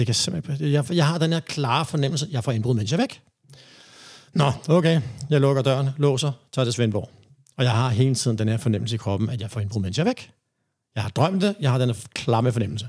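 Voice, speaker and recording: Somewhat breathy, a man talks fairly quickly. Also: medium pitch for a man, lively intonation. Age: 50s. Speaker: reggae DJ and rapper. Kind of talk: interview. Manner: halting.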